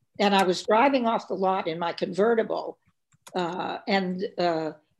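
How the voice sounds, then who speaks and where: Using a plain, everyday voice, a woman of medium pitch speaks at a fairly slow pace with ordinary pitch variation. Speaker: film director and actress. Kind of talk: interview.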